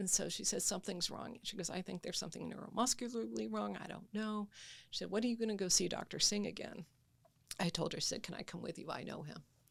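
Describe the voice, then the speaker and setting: A woman talks at a very fast pace with lively intonation. Her medium-pitched voice carries vocal fry. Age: 70s. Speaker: patient sharing illness journey. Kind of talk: testimony.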